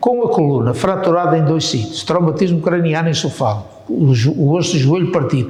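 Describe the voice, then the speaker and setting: A man speaks at a moderate pace with a fairly high pitch and ordinary pitch variation, amid noticeable background noise and audible room echo. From northern Portugal, Paços de Ferreira. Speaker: war veteran. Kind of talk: oral history interview. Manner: halting.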